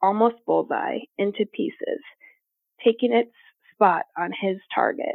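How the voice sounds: Ordinary pitch variation in a natural reading voice, set against a quiet background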